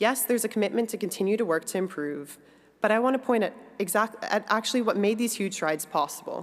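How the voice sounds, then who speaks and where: A woman with a fairly high voice speaks at a very fast pace with lively intonation. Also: very even loudness. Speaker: industry executive giving a speech. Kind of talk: conference speech.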